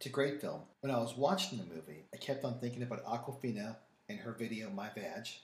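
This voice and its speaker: Against noticeable background noise, a man with a medium pitch speaks at a fairly quick pace with lively intonation. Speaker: wine and food podcast co-host. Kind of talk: casual chat.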